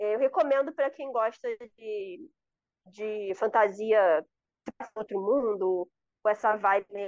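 Recorded with a dry, close sound and no echo, a woman with a fairly high pitch talks at a very slow pace with ordinary pitch variation. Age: 20s. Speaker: podcast guest, fantasy book fan. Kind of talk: casual chat.

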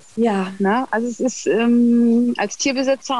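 In an unremarkable speaking voice, someone talks at a fairly slow pace with fairly even intonation. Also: woman. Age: 40s. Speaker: cat owner. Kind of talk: casual interview.

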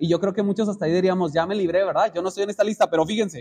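A man with fairly even intonation. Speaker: preacher. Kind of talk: sermon, expository Bible teaching to a small congregation. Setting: church. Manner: earnest, exhorting, pausing to address the brothers directly.

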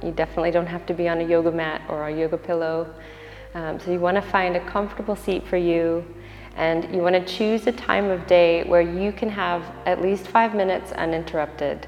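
A woman's fairly low voice, fairly quick and fairly even in intonation, over background music. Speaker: meditation guide. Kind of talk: guided meditation. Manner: soft-spoken, calm, with long pauses.

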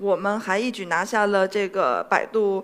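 Her voice sits at a fairly high pitch for a woman. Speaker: anime company CEO giving a talk. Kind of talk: stage talk.

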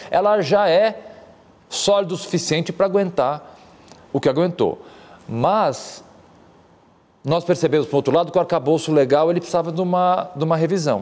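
A man with a high-pitched voice and ordinary pitch variation keeps his loudness very even while leaving long, frequent pauses. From Brazil, São Paulo. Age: 40s. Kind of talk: interview conversation.

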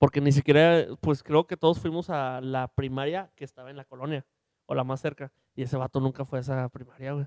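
With an ordinary speaking voice, a man talks fairly quickly at a fairly high pitch, with big swings in loudness and a dry, close sound with no echo. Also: fairly even intonation. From Mexico, Monterrey area (Santa Catarina). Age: 20s. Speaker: podcast co-host. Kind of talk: casual chat.

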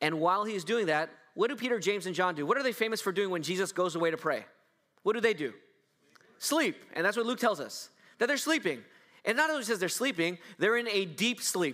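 Raising and projecting his voice, a man speaks high-pitched with a bright, sharp tone, lively intonation and a fairly quick pace broken by long, frequent pauses, on a very clean recording with a silent background. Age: 40s. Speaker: pastor. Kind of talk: sermon.

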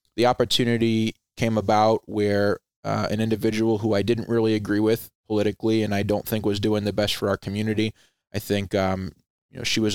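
A voice with a Rhode Island accent moves at a fairly quick pace in monotone, flat intonation, with a dry, close sound, no echo and a very clean recording with a silent background. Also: man. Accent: East Coast US, Rhode Island. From Rhode Island, US Northeast. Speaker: veteran nonprofit founder, former Air Force member. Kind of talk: interview, conversational.

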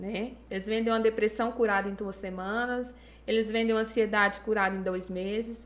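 A woman talks at a fairly quick pace, her fairly high pitch held in a monotone, flat intonation. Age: 20s. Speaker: psychologist. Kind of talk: podcast interview.

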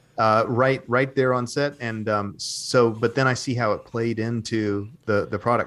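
A plain, everyday voice speaks with an American accent at a fairly slow pace. Its pitch variation is ordinary. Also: man. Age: 40s. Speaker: actor. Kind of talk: interview.

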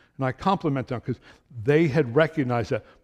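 Speaking with an American accent at a fairly quick pace, a man uses ordinary pitch variation in a dry, close sound with no echo. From New York / New Jersey area. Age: 60s. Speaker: lay preacher, retired truck driver. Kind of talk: sermon. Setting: church. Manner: fast; halting.

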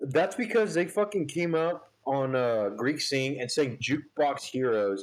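Loud and at a fairly slow pace, a man talks with ordinary pitch variation. His pitch sits in the medium range.

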